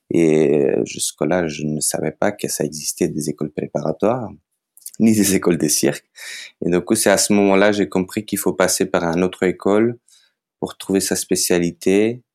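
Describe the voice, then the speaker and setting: Speaking at a moderate pace with a Macedonian accent, a man has a very deep, low pitch and ordinary pitch variation, in a dry, close sound with no echo on a very clean recording with a silent background. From North Macedonia. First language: Macedonian (speaking French). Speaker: circus artist and photographer. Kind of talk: interview. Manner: hesitant, many fillers.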